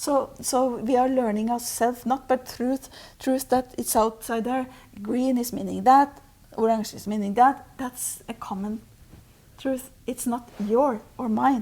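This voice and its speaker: At a fairly slow pace, a woman speaks at a high pitch with a dark, mellow tone, monotone, flat intonation and big swings in loudness. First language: Norwegian. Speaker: spiritual teacher. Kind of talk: interview. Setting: Oslo. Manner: halting.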